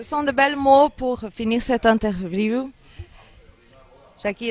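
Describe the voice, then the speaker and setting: A woman speaks at a very slow pace with a fairly high pitch. Her pitch varies in an ordinary way. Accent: slight Angolan. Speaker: interviewer. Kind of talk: interview.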